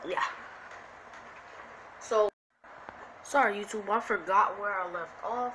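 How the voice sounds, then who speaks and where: With noticeable background noise and audible room echo, a woman talks at a medium pitch and a moderate pace, her intonation fairly even. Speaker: YouTuber telling fan-fiction story. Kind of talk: improvised storytelling. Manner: casual, halting.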